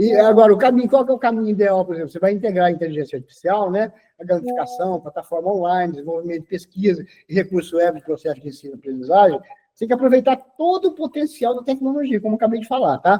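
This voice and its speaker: A man talks at a very fast pace in a high pitch, with lively intonation. His loudness swings a lot. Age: 60s. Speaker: teacher. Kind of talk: interview. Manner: hesitant, frequent fillers.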